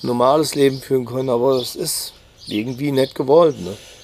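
A man's fairly high voice at a moderate pace, ordinary pitch variation, and noticeable background noise. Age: 50s. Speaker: cousin of a crime victim. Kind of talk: interview. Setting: outdoors on a terrace at his home. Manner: halting.

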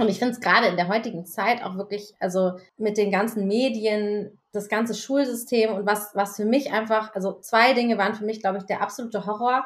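A woman speaks in an ordinary speaking voice, fairly high in pitch, with fairly even intonation. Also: fairly quick pace, hardly any pauses. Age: 40s. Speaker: podcast co-host. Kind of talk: casual chat.

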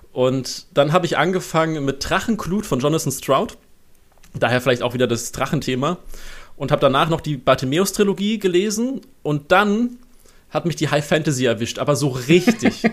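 Lively intonation marks a man's plain, everyday voice, pitched fairly high. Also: moderate pace. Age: 20s. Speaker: freelance copy editor. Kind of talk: interview.

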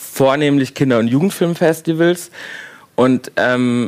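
A man's fairly high voice at a fairly slow pace, with ordinary pitch variation and noticeable background noise. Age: 30s. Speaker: film director. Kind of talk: casual chat.

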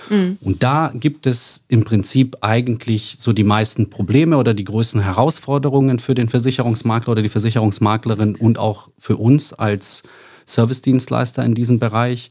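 Recorded very cleanly over a silent background, a man with a plain, everyday voice talks at a moderate pace in a medium pitch with ordinary pitch variation. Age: 40s. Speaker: insurance sales executive. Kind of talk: casual interview.

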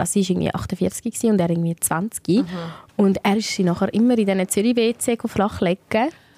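The speaker, with a Swiss accent, moves at a fairly quick pace in a dark, mellow tone. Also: woman. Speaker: radio host and podcast co-host. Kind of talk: casual chat. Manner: animated, laughing often.

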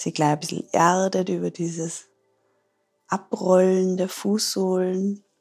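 A woman speaks at a fairly slow pace in a calm, soothing tone and a medium pitch, with music playing in the background. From Austria, Tyrol. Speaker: yoga teacher and ayurveda therapist. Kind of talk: guided yoga instruction; interview.

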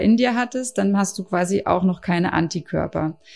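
With a plain, everyday voice, a woman speaks at a medium pitch and moderate pace with ordinary pitch variation on a very clean recording with a silent background. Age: 40s. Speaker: mother and CMV awareness campaigner. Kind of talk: interview.

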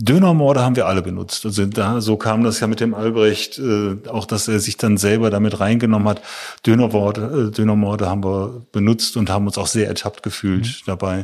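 A man with a plain, everyday voice talks at a fairly quick pace. His pitch is fairly low and his intonation fairly even. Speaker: photographer. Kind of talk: interview conversation.

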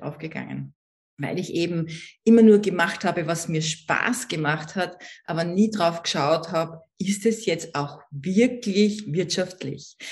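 A woman speaks at a fairly low pitch, somewhat breathy, with an Austrian accent. Her pace is fairly slow and her pitch varies in an ordinary way. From Austria, Vienna. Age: 60s. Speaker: network marketing entrepreneur and coach. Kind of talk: interview.

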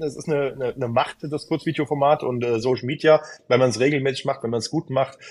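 Noticeable background noise accompanies a man talking at a very fast rate. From Hesse, near Frankfurt. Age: 30s. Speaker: travel consultant and content creator. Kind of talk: casual interview. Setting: remote call.

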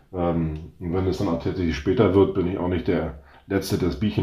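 A man speaks at a fairly quick pace with a very deep, low pitch and fairly even intonation. Audible room echo surrounds his voice. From northern Germany, North Sea coast. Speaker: startup founder. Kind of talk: interview.

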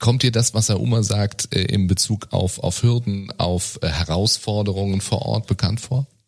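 Over music in the background, a man with a fairly low voice talks with hardly any pauses. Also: ordinary pitch variation, fairly slow pace. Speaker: podcast host. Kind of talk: interview. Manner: filler-heavy.

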